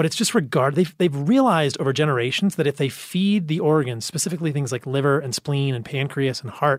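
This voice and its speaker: Here is a man with an ordinary speaking voice, fairly high in pitch with ordinary pitch variation. The recording is very clean, with a silent background. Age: 40s. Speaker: medical doctor and diet advocate. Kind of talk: casual chat.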